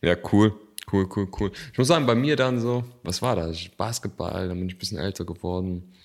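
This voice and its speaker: A man in a normal speaking voice talks at a medium speed, his fairly low pitch varying in an ordinary way. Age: 20s. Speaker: podcast co-host. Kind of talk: casual chat. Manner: casual, with many filler words.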